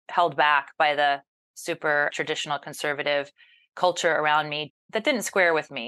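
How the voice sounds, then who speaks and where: A woman with an American accent, bright and sharp in tone, at a fairly quick pace over a quiet background. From US South. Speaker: journalist and news anchor. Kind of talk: interview.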